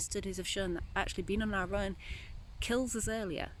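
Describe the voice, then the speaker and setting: Noticeable noise sits in the background. The speaking pace is fairly quick. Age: 30s. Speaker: spiritual vlogger. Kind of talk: vlog monologue. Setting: outdoors in a graveyard. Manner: fast.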